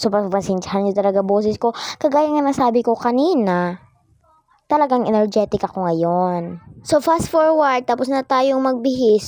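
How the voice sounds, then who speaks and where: Fairly high in pitch, a woman speaks at a fairly slow pace with lively intonation. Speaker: game roleplay vlogger. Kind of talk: casual vlog narration. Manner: energetic.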